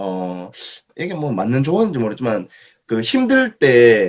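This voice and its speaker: A man at medium pitch talks with very wide pitch swings. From Daegu, South Korea. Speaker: author and education company speaker. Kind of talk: Q&A at author lecture.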